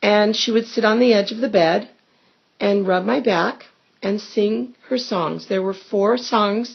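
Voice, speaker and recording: Speaking fairly slowly, a woman uses an unremarkable speaking voice at a medium pitch, with ordinary pitch variation. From US West Coast, Los Angeles. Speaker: family interviewer. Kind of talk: family oral history interview.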